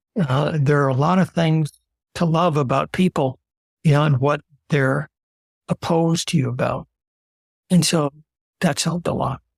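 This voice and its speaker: This man's voice sits fairly high for a man and is somewhat breathy, moving at a moderate pace with fairly even intonation and long, frequent pauses in a dry, close sound with no echo. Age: 70s. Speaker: retiree. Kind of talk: interview answer.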